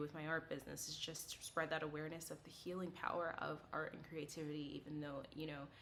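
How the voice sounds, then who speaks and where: There is noticeable background noise. A woman talks at a very fast pace in a very deep, low pitch. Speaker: psychic medium and artist. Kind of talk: casual chat to camera. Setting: filmed on camera. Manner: rambling with many fillers.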